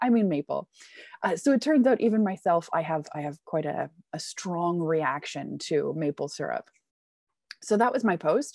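In a Canadian accent, a woman talks at a moderate pace and fairly low pitch with lively intonation, using a normal speaking voice. The sound is dry and close with no echo, and the background is quiet. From Canada. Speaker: business English teacher. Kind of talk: casual interview.

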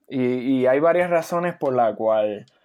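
This is a man at medium pitch using a normal speaking voice. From Puerto Rico. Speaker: podcast co-host, university student. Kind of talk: casual chat.

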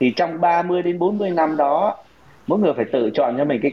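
At a moderate pace, a man speaks in an unremarkable speaking voice. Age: 50s. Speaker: senior executive and investment teacher. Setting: online call.

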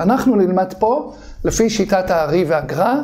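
Over noticeable background noise, a high-voiced man speaks at a fairly slow pace with lively intonation. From Israel, Bnei Brak. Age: 50s. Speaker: kabbalah author and teacher. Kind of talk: casual chat.

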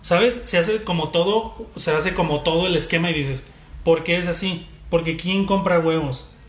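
Noticeable background noise sits behind a man speaking at a moderate pace. His pitch is high for a man, with ordinary variation. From Mexico, Guadalajara. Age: 30s. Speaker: illustrator and marketing communicator. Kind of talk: casual chat.

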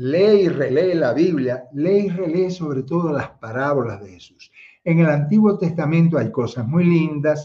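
A man's voice sits at a fairly high pitch and sounds somewhat breathy. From Cuba (Havana, Marianao). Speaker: theologian and online speaker. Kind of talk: livestream talk with chat greetings. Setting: livestream, chat only.

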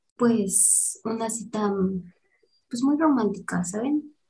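A woman with a Mexican accent speaks at a very slow pace. Her tone is dark and mellow, and somewhat breathy. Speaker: podcast co-host. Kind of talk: casual chat.

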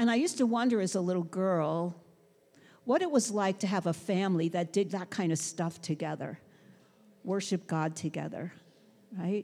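A woman with an American accent and a dark, mellow tone speaks at a moderate pace with ordinary pitch variation and long, frequent pauses on a very clean recording with a silent background. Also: medium pitch for a woman. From US Northeast, Brooklyn, New York City. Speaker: pastor. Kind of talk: sermon.

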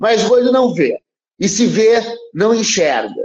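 At a fairly slow pace, a man delivers his lines in a dramatic, energetic tone. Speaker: poet and university professor. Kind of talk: poetry reading, declaimed verse. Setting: radio studio. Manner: dramatic, energetic, emphatic delivery; measured, rhythmic cadence.

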